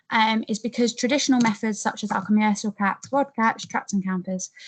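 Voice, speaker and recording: At a moderate pace, a woman speaks somewhat breathily with ordinary pitch variation. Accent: English. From England. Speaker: PhD researcher. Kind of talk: webinar presentation. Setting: online webinar. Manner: hesitant, many fillers.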